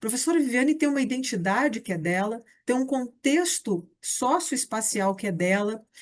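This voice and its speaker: Over a quiet background, a woman with a high pitch moves through very wide pitch swings at a moderate pace. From Brazil, Rio de Janeiro. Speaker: teacher and education researcher. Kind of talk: recorded lecture.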